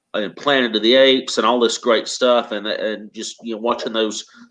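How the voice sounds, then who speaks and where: A man speaks with a Southern accent. His intonation is monotone and flat. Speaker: author. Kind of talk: casual chat.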